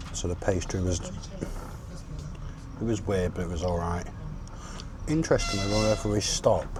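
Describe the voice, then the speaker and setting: A man with a British accent speaks at a fairly low pitch, with noticeable background noise and audible room echo. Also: ordinary pitch variation, fairly slow pace. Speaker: travel vlogger. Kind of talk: travel vlog. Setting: outdoors; on a train. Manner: casual, hesitant.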